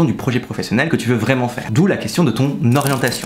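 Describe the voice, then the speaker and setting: Noticeable background noise accompanies a man whose medium-pitched voice has an animated tone and ordinary pitch variation. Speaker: student advice youtuber. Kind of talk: tutorial. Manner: fast.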